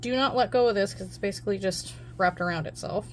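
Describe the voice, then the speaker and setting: A woman talks at a fairly quick pace. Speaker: crochet tutorial creator. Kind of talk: tutorial. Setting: home craft table, filming with camera. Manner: casual, chatty with fillers; gets louder when leaning into camera.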